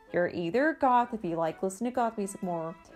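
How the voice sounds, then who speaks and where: A woman talks at a fairly quick pace and medium pitch, with ordinary pitch variation. Music plays in the background. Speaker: goth vlogger. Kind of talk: casual talk to camera. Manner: annoyed.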